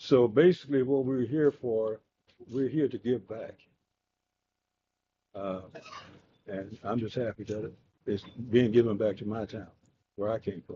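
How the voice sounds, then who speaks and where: A man with a Mississippi accent speaks at a moderate pace and medium pitch, with long, frequent pauses. His loudness swings widely while his pitch variation is ordinary. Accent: Southern US (Mississippi). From US South. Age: 80s+. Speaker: retired Air Force veteran speaking at city council. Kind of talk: public comment at city council meeting. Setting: city council meeting room. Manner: halting, many fillers.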